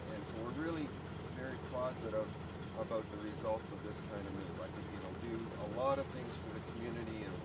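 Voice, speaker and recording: Through loud background noise, a man speaks at a fairly quick pace with ordinary pitch variation. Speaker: speaker. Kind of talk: short public speech. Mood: positive, thankful. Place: open country. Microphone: old recording.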